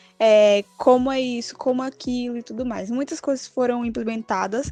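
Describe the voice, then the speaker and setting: A woman talks at a moderate pace with a high pitch and fairly even intonation. Music plays in the background. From Brazil, Bahia (Salvador). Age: 20s. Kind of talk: interview answers.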